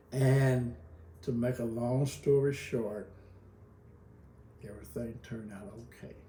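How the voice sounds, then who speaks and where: A man with an American accent speaks at medium pitch and a fairly slow pace, with ordinary pitch variation. Long, frequent pauses and big swings in loudness stand out amid audible room echo. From Kentucky. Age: 70s. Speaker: pastor and retired school counselor. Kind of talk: interview. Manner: halting.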